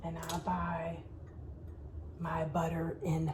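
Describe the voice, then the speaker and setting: A woman with an American accent speaks at a very slow pace against noticeable background noise. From Alabama. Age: middle-aged. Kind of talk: casual cooking tutorial to camera.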